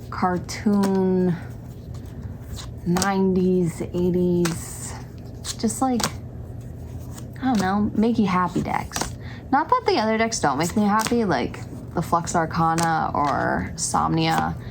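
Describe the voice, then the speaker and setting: Amid audible room echo and noticeable background noise, a woman speaks at medium pitch and a very slow pace, with long, frequent pauses, ordinary pitch variation and very even loudness. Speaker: tarot reader and witchcraft vlogger. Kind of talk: casual vlog talk to camera. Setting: home filming with ring light.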